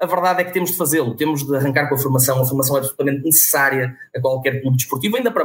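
A man talks at a very fast pace. His voice is fairly high in pitch and somewhat breathy. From northern Portugal, Vila Nova de Famalicão. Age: 20s. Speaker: rugby club president. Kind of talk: interview.

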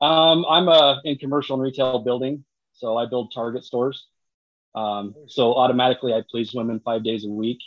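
With an American accent, a man speaks at a moderate pace in a plain, everyday voice of medium pitch and fairly even intonation. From Utah. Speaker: social media creator. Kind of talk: casual chat.

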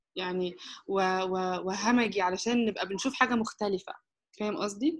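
Over a silent background in a very clean recording, a woman uses an ordinary speaking voice at a moderate pace with ordinary pitch variation. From Egypt. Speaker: anthropology graduate student. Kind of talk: casual interview chat.

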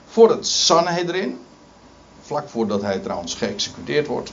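Very wide pitch swings mark this very slow delivery, heard over noticeable background noise. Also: man. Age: 50s. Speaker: preacher. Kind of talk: sermon. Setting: church. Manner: halting.

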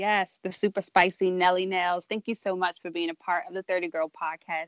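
A woman with an American accent speaks in a monotone, flat intonation. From Southern Maryland, US. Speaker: podcast host. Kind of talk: casual interview chat.

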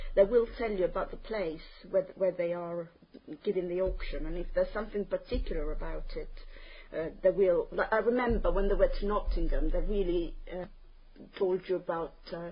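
She speaks with an Italian accent. Her pace is moderate, and the speaker is a woman. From Italy, Terni in Umbria. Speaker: language test candidate. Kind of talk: spoken exam interview. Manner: hesitant, many fillers.

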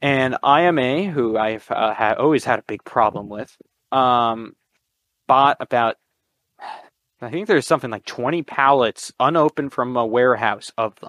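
A man with an American accent and an ordinary speaking voice, at medium pitch with ordinary pitch variation and a moderate pace, in a dry, close sound with no echo against a quiet background. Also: big swings in loudness. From Connecticut, US. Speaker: militaria collector. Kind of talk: casual chat.

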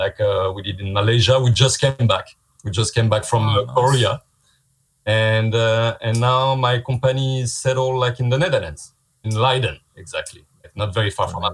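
A man with a French accent talks at a moderate pace and a medium pitch. His voice is somewhat breathy, with ordinary pitch variation. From France. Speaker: visual effects artist. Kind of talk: casual interview. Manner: halting.

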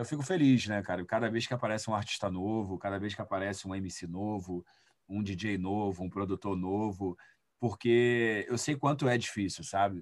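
In a very clean recording with a silent background, a man with an ordinary speaking voice talks at a moderate pace with ordinary pitch variation. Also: fairly low pitch for a man. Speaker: music producer and DJ. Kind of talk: interview.

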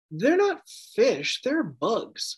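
Lively intonation marks a man speaking with an American accent. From Massachusetts (Wellesley, Boston area). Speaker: rugby podcaster, fan. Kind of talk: casual chat. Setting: drinking beer during recording.

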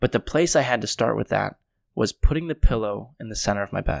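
Talking very fast with vocal fry, a man with an American accent sounds dry and close with no echo, on a very clean recording with a silent background. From Connecticut, US. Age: 20s. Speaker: life coach and podcaster. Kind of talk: casual interview.

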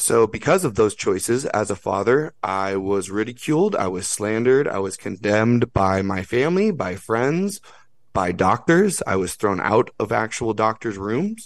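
Against a quiet background, a man with an unremarkable speaking voice talks at a moderate pace, fairly low in pitch, with lively intonation. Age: 30s. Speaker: podcaster and outdoor school founder. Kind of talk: casual chat.

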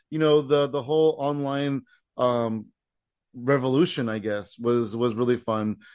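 A man with a plain, everyday voice at medium pitch, fairly slow pace and fairly even intonation, over a quiet background. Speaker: comedy podcast host and comedian. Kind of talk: casual chat.

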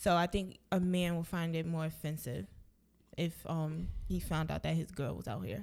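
In a very clean recording with a silent background, a woman with an American accent speaks at a moderate pace, her fairly low pitch showing ordinary variation. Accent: noticeable accent, comes off hard. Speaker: podcast co-host. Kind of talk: casual chat.

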